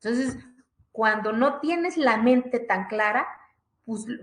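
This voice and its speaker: With lively intonation and a high pitch, a woman speaks at a fairly slow pace amid audible room echo. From Mexico, Oaxaca (Zapotec village). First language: Zapotec (speaking Spanish). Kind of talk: conference talk, personal testimony. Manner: repetitive stammering, animated.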